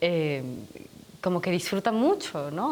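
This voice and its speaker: Her pitch fairly low, a woman talks at a very fast pace with lively intonation. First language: Spanish. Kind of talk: interview.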